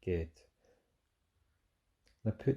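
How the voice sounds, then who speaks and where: In a Scottish accent, the somewhat breathy voice carries a dark, mellow tone over a quiet background. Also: man. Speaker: fitness instructor. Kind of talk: guided mindfulness meditation. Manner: soft-spoken, slow.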